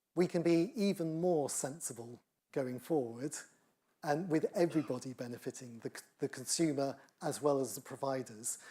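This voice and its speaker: A man with a British accent speaks at a moderate pace in a fairly high pitch. His tone is dark and mellow, with ordinary pitch variation. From United Kingdom. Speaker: engineering professor. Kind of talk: lecture Q&A.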